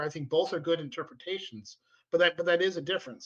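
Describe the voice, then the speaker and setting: A man with a bright, sharp tone talks at a very fast pace. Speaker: podcast co-host. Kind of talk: casual chat. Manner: halting; stutter.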